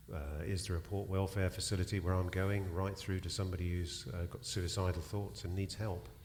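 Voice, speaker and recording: This voice has a British accent and sounds somewhat breathy, moving at a moderate pace with fairly even intonation. Audible echo fills the room. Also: man. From UK. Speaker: charity director. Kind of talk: panel discussion. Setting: stage with live audience.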